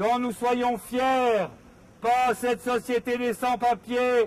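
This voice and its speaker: A man is talking. His pitch is extremely high. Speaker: activist reading a text in public. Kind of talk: reading aloud. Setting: outdoors on a public square. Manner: loud.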